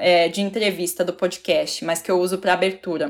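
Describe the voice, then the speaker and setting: On a very clean recording with a silent background, a woman speaks at a moderate pace in monotone, flat intonation. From Curitiba region, Paraná, Brazil. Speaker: journalist and podcast host. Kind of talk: interview conversation.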